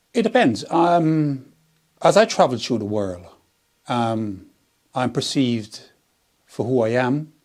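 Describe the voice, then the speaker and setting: With lively intonation and a medium pitch, a man speaks at a very slow pace, leaving long, frequent pauses. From Jamaica. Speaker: interviewee. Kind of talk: interview.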